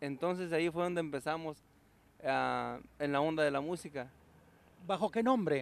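With long, frequent pauses, a man with a fairly high pitch talks at a moderate pace, his pitch varying in an ordinary way and the sound dry with no echo. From Guanajuato, Mexico. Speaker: songwriter and musician. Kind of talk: TV interview; interview answer. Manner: halting, many fillers. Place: garden. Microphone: handheld.

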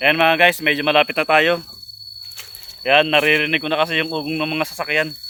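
Noticeable background noise sits behind a man's fairly high voice. He speaks fairly quickly in a monotone, flat delivery. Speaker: vlogger. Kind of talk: outdoor vlog narration. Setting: outdoors in a forest. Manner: casual, repetitive filler.

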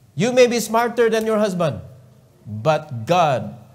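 A man speaks with a Cebuano accent. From Philippines. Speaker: preacher. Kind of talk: sermon; fervent prayer, pleading and earnest, closing the meeting. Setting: church. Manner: emphatic, preaching with repeated commands; earnest, pleading. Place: church. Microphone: podium.

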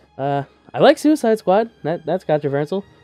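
A man talks while faint background music plays. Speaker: YouTuber. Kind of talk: casual vlog chat. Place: home room. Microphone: webcam.

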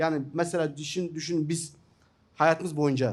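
A man's fairly high voice with an Iraqi accent and fairly even intonation. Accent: Iraqi Turkmen Turkish. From northern Iraq (Turkmen). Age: 50s. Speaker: journalist and writer; journalist. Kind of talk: seminar talk. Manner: halting, many fillers. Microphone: podium.

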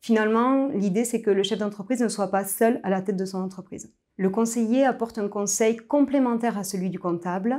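A woman speaks at a moderate pace with a dark, mellow tone and a fairly high pitch. The background is quiet. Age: 30s. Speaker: business advisory director. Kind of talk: corporate recruitment video interview. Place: office. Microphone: lapel.

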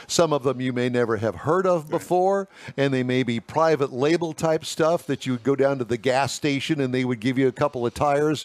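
The voice belongs to a man. There is no echo, and the sound is dry. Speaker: radio show host. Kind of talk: talk show commentary. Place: studio. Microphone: headset.

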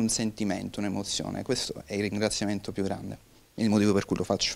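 This man speaks at a fairly quick pace. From Sicily (Giarre, near Catania); Sicily. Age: 20s. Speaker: film director and screenwriter. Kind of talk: interview. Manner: hesitant, many fillers and repetitions. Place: studio. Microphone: handheld.

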